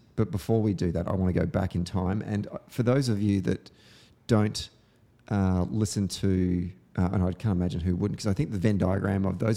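Spoken at a very fast pace with an Australian accent, the voice has a dark, mellow tone and ordinary pitch variation. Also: man. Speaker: podcast host. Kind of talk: casual chat. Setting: studio.

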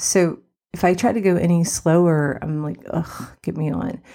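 This woman is soft-spoken, with a warm, dark, mellow tone. Her pitch is fairly low and her pitch variation is ordinary. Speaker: success coach and podcast host. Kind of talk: solo podcast monologue, casual and conversational. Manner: soft-spoken, quiet; warm, chatty, laughs often.

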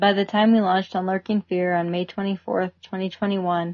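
A woman's voice in monotone, flat intonation. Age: 30s. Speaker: climber and podcast co-founder. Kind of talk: reading aloud.

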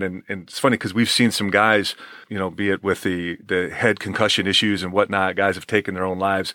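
A man's bright, sharp voice in a dry, close sound with no echo, on a very clean recording with a silent background. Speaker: former hockey player turned pastor. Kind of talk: casual interview chat. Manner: animated, casual.

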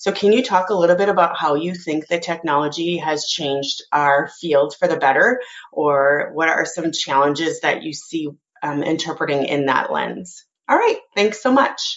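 With an American accent, a woman with an unremarkable speaking voice talks at a moderate pace and a fairly low pitch. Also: ordinary pitch variation. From United States. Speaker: sign language interpreter, listener. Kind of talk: recorded voicemail. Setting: voicemail recording.

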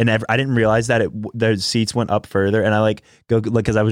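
A man talks at a fairly low pitch. The recording is very clean, and the background is silent. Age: 20s. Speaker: podcast co-host. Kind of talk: casual chat.

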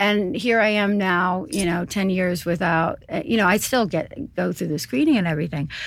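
A woman in an American accent talks at a moderate pace with hardly any pauses, using a plain, everyday voice. Her medium pitch carries lively intonation. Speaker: urologist. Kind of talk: expert interview.

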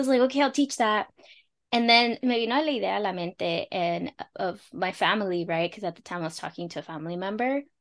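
In a normal speaking voice, a woman with an American accent talks at a fairly quick pace and medium pitch, her intonation lively and her loudness swinging widely against a quiet background. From Los Angeles, California. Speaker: immigrant money coach. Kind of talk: casual interview chat, explaining finance.

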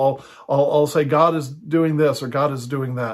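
A man speaks at a fairly quick pace with an unremarkable speaking voice, fairly high in pitch and fairly even in intonation. The recording is very clean, with a silent background. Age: 60s. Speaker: pastor and house church teacher. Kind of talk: teaching monologue. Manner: casual with frequent fillers.

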